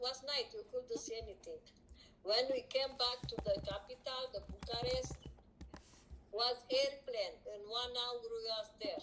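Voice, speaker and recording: A woman talks very slowly with a Romanian accent. She takes long, frequent pauses. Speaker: streamer's mother. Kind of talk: casual chat. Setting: live stream. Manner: halting.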